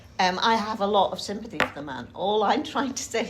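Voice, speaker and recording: With a Yorkshire accent, a woman talks at a fairly quick pace amid noticeable background noise. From Yorkshire, England. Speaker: writer giving a talk. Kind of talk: talk with group discussion. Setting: talk to a group in Cambridge. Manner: hesitant, with ums.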